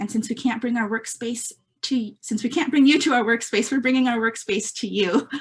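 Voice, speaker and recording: Pitch varies in an ordinary way. The voice is somewhat breathy. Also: woman. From California Central Coast, Mexican immigrant family. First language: Spanish. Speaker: nonprofit staff member, meeting moderator. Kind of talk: virtual meeting presentation. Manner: hesitant, many fillers.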